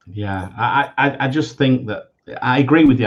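A man speaks in a somewhat breathy voice. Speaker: fantasy football podcast host. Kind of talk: casual chat.

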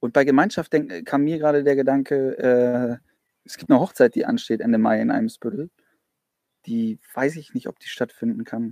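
With big swings in loudness, a man speaks at a medium pitch in a dark, mellow tone. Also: dry, close sound with no echo. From Flensburg area, northern Germany. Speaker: church youth leader. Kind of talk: casual chat. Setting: outdoors, in a garden.

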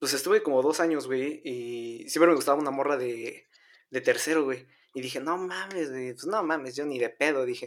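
A man talks at a moderate pace in a normal speaking voice, fairly high in pitch with ordinary pitch variation. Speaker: podcast co-host. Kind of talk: casual chat.

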